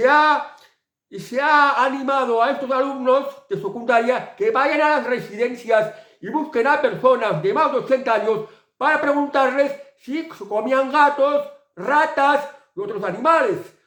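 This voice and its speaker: A man talks at a fairly slow pace with an extremely high pitch. His tone is bright and sharp, with ordinary pitch variation. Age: 60s. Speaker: political commentator. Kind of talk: political monologue video commentary. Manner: halting, with repetitions.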